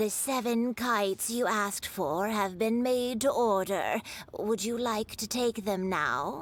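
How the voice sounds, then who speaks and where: Using a put-on character voice, a woman speaks fairly slowly with a fairly high pitch. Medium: video game. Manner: friendly, polite.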